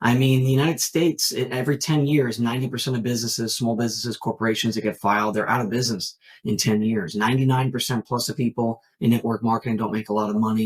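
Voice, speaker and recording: A somewhat breathy man at medium pitch, talking at a very fast pace with hardly any pauses. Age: 30s. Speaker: network marketing entrepreneur. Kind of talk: podcast interview. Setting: remote call.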